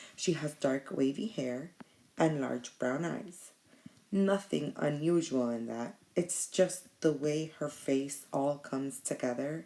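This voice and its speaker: Speaking at a very slow pace, a woman has a very deep, low pitch and ordinary pitch variation. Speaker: teacher reading a novel aloud to students. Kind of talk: reading aloud. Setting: at home at night.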